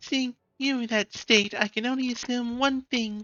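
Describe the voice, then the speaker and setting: This is a put-on character voice with fairly high pitch. It runs at a moderate pace. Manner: dramatic, acted.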